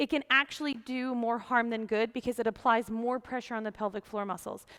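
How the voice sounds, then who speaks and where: This woman talks fairly quickly in a fairly high, animated voice. The background is quiet. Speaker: yoga teacher. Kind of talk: tutorial. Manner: fast. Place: empty room.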